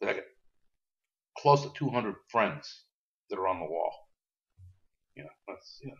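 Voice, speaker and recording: Using vocal fry, a man at a medium pitch speaks at a moderate pace, with very wide pitch swings, big swings in loudness, and long, frequent pauses. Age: 60s. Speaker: war veteran. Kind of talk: interview. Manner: halting.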